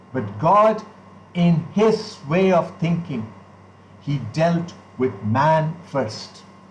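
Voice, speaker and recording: A man speaks very slowly at a fairly high pitch, leaving long, frequent pauses. His pitch swings very widely, and the room echo is audible. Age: 60s. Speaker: pastor. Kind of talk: sermon.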